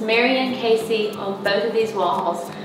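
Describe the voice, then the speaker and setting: A woman with ordinary pitch variation, audible room echo and noticeable background noise. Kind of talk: casual house tour chat. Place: home room. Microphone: camera far.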